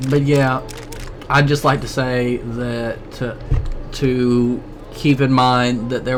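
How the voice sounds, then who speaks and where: Music plays in the background as a man talks at medium pitch. His intonation is monotone and flat, with audible room echo. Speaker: gaming YouTuber. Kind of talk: let's play commentary. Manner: stuttering, stammering; halting.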